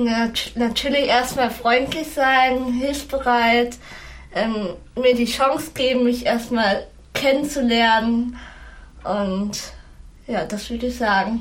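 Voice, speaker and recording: Audible room echo surrounds a woman's high voice as she speaks very slowly with fairly even intonation and long, frequent pauses. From Lower Saxony, Hameln. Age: 20s. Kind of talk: interview.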